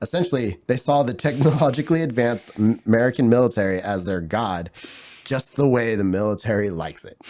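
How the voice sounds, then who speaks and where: A man speaks at a very fast pace, his voice at a medium pitch with a dark, mellow tone. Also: big swings in loudness. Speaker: podcast co-host. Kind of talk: casual chat.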